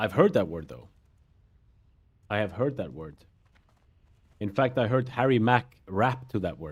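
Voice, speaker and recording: A man's fairly low voice with vocal fry and very wide pitch swings, at a moderate pace broken by long, frequent pauses. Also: big swings in loudness. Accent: non-native. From Europe. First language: not English. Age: 30s. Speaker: gaming streamer. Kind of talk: casual chat.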